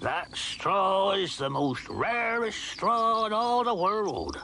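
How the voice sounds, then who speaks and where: There is clear background noise. Over it, a man speaks at a very slow pace. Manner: proud, rambling.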